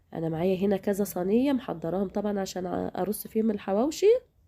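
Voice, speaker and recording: In an Egyptian accent, a woman speaks at a fairly quick pace with a medium pitch and a dark, mellow tone on a very clean recording with a silent background. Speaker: cooking channel host. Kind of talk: cooking tutorial. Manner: casual, chatty.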